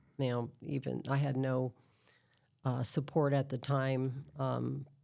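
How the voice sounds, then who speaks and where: In a very clean recording with a silent background, a woman speaks very slowly in a very deep, low pitch, her tone dark and mellow and her intonation monotone and flat. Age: 60s. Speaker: podcast host. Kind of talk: casual interview conversation.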